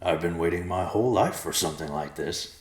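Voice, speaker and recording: A raspy, put-on character voice from a man, very deep and low in pitch, at a fairly quick pace. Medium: read story.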